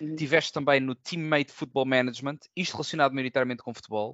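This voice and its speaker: A man's medium-pitched voice, a normal speaking voice, at a fairly quick pace. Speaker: podcast host. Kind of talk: casual chat.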